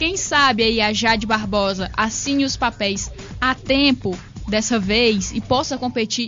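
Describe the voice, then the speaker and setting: A woman speaks at a fairly high pitch with ordinary pitch variation. Music plays behind her. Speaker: radio sports presenter. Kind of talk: radio sports show hosting.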